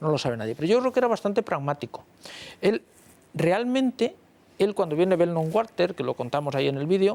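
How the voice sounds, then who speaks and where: A man races along at a very fast pace, his voice high-pitched and his intonation lively. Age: 50s. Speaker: history professor. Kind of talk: panel discussion. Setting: TV studio.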